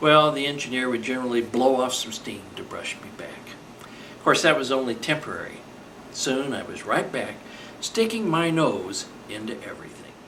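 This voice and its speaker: A whispering man with an American accent at a moderate pace, with big swings in loudness, audible room echo and noticeable background noise. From California, US. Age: 60s. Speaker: model railroader. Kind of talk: scripted narration.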